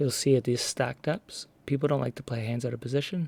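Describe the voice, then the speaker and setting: Man at a medium pitch, fairly quick and somewhat breathy, fairly even intonation, dry, close sound with no echo. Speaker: online poker player. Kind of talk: casual commentary over gameplay.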